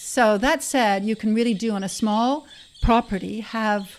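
A normal speaking voice from a woman, fairly high in pitch, at a moderate pace with fairly even intonation. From Canada. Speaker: horse yoga and wellness center owner. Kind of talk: interview.

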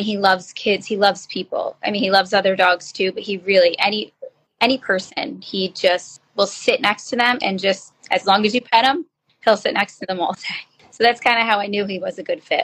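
With a New Jersey accent, a woman speaks at a moderate pace in a fairly high voice with a bright, sharp tone and ordinary pitch variation, the sound dry and close with no echo. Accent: New Jersey American. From northern New Jersey. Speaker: special education teacher. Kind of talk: interview.

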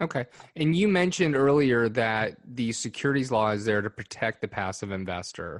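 With lively intonation, a man talks in an ordinary speaking voice, the sound dry and close with no echo. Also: medium pitch for a man, moderate pace. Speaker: podcast co-host. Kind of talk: interview.

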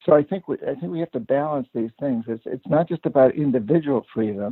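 An unremarkable speaking voice. The pace is fairly quick. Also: man. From New Hampshire, US. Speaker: author and activist. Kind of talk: interview.

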